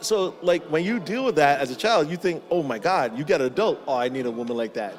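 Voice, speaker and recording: A man with a Barbadian accent speaks in a fairly high voice with very wide pitch swings, amid noticeable background noise. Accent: West Indian (Bajan). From Barbados. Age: 30s. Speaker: podcast guest. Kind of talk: casual chat.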